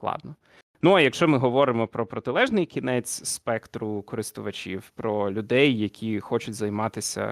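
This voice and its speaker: In an ordinary speaking voice, a man talks at a medium pitch and a moderate pace with ordinary pitch variation, the sound dry and close with no echo. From Zakarpattia, western Ukraine (Uzhhorod). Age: 20s. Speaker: communications manager and sim racer. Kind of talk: interview. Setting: online call.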